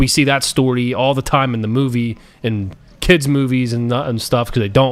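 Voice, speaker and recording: A man talks at a moderate pace and a medium pitch. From US. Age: 20s. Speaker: gaming streamer. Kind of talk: casual chat. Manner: rambling, halting.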